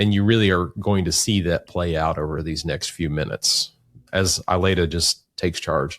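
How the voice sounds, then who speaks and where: Very deep and low in pitch, a man talks at a moderate pace in a Southern US accent. The sound is dry and close with no echo, and the recording is very clean over a silent background. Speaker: podcast co-host. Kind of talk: casual chat. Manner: animated.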